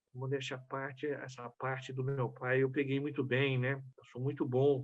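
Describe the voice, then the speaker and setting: A man's medium-pitched, monotone, flat delivery at a moderate pace. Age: 60s. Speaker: business consultant, club member. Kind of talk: personal life story talk.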